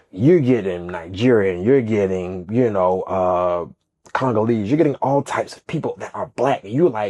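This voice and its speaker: With an animated tone and lively intonation, a man with a fairly low pitch talks at a moderate pace, his loudness swinging widely. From US South, College Park, Georgia. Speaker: dancer and choreographer. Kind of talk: casual chat.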